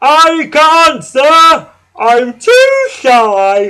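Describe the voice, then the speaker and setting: An extremely high pitch from a man doing a put-on character voice. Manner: funny, disguised, shy.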